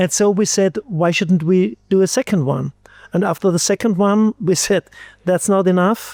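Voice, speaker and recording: A high-pitched man with an Austrian accent at a moderate pace, his loudness very even, in a very clean, dry, close recording with a silent background and no echo. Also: ordinary pitch variation. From Austria, Styria. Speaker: physician and microbiologist. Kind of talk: interview. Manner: halting, many fillers and repetitions.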